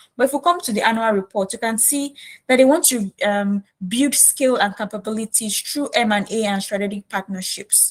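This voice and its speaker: A woman's somewhat breathy voice sits fairly high, with ordinary pitch variation. The sound is dry and close, with no echo. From Nigeria, Lagos. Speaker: career coach. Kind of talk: tutorial. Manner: fast.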